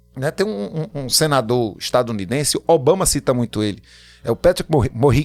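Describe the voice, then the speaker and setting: At a fairly quick pace, a man talks at a medium pitch with lively intonation. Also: very clean recording, silent background. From Pernambuco, Brazil. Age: 50s. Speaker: writer and political candidate. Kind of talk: podcast interview. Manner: animated.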